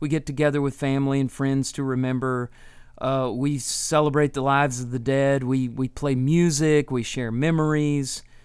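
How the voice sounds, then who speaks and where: A man with an American accent speaks at a medium pitch and moderate pace. He has a plain, everyday voice and fairly even intonation. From Texas. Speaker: Bible teaching podcast host. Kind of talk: solo Bible teaching talk.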